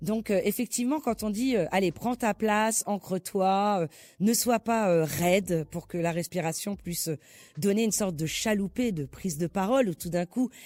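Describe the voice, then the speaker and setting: In a very clean recording with a silent background and a dry, close sound with no echo, a woman speaks at a moderate pace in a dark, mellow tone of medium pitch with ordinary pitch variation. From southern France. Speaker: actress and voice coach. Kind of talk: interview conversation. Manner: animated.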